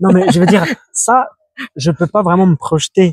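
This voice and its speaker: Dry and close with no echo, a man's high-pitched voice moves with ordinary pitch variation. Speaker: competitive arm wrestler. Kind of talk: casual podcast chat. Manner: fast.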